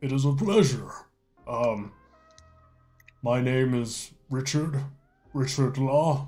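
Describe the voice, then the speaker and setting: A man performs a put-on character voice at a medium pitch with ordinary pitch variation. He goes at a very slow pace, leaving long, frequent pauses. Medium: actual play. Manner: formal, hospitable.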